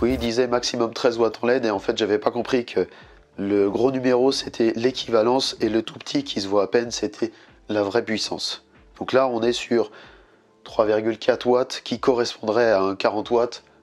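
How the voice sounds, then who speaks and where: A man speaks at a moderate pace with a medium pitch and fairly even intonation. Music plays in the background. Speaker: DIY youtuber. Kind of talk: tutorial. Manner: casual.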